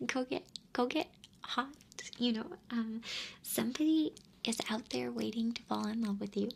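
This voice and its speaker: A soft-spoken woman whispering at a moderate pace. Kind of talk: ASMR advice talk to camera. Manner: whispered, soft-spoken.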